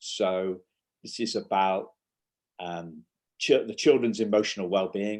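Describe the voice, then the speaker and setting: A man speaks with a northern English accent. His tone is dark and mellow. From northern England, near York. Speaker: parenting coach. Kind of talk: casual interview. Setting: remote call, early morning UK time. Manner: halting, repeats words.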